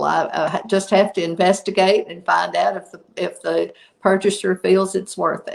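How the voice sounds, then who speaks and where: A woman with a Southern US accent talks at a moderate pace, with big swings in loudness. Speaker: product inventor and company CEO. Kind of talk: interview.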